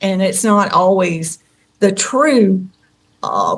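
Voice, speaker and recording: A woman of medium pitch with a Southern US accent and fairly even intonation. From Tennessee. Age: 60s. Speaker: contactee. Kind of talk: interview.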